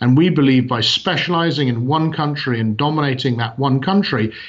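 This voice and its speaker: Somewhat breathy and at medium pitch, a man talks at a fairly quick pace with ordinary pitch variation. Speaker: company CEO. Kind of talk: interview. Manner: hesitant, many fillers.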